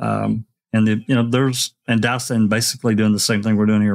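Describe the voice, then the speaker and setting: A very fast pace in a monotone, flat intonation. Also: man. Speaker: panel member. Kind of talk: casual panel discussion. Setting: video call.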